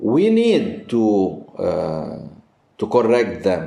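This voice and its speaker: A non-native accent marks the speech. The speaker is male. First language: Arabic. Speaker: priest and Byzantine music teacher. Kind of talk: interview. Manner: halting.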